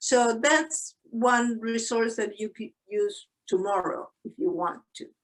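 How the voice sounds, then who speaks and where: Speaking with a Spanish accent, a woman uses a fairly high pitch. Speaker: psychologist and tapping instructor. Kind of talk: webinar Q&A.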